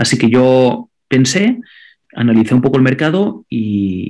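A man speaks at a fairly slow pace with a Catalan accent. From Andorra. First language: Catalan (speaking Spanish). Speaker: digital marketing consultant and content creator. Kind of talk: interview. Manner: frequent word repetitions.

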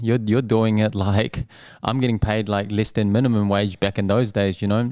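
Over a silent background in a very clean recording, a man with a New Zealand accent talks at a fairly quick pace in a fairly low pitch. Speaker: restaurant owner. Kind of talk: casual chat.

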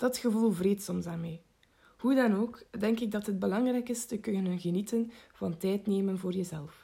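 A woman speaks at a moderate pace in a medium pitch, somewhat breathy, with fairly even intonation. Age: 18. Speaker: psychology student. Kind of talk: scripted narration.

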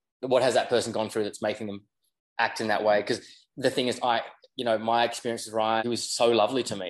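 The background is quiet. A man speaks at a medium pitch with an Australian accent. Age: 30s. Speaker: yacht deckhand and reality TV personality. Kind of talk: casual chat.

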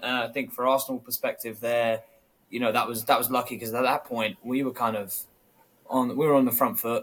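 With a London accent, a man speaks at a very fast pace and medium pitch, with ordinary pitch variation. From London, England. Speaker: football podcast co-host. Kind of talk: casual chat.

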